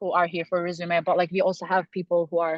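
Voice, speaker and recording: A woman with a Turkish accent talks at a very fast pace in a medium pitch. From Turkey. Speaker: student election candidate. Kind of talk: interview. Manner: halting.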